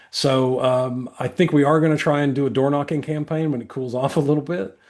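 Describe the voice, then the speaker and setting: A man at a fairly high pitch, with an American accent, fairly even intonation and a fairly quick pace, over a quiet background. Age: 60s. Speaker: political candidate. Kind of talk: interview. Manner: halting, many repetitions and fillers.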